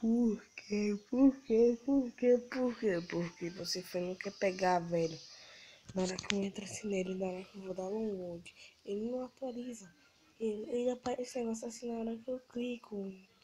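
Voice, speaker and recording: Somewhat breathy and dark, mellow in tone, a woman speaks at a moderate pace with a fairly high pitch and ordinary pitch variation. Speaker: gamer. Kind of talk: casual gameplay commentary.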